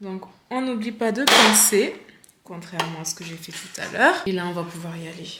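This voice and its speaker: Speaking at a moderate pace with an animated tone, a woman at medium pitch shows ordinary pitch variation, big swings in loudness and long, frequent pauses, with audible room echo around her. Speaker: sewing vlogger. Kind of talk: casual vlog tutorial. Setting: at home.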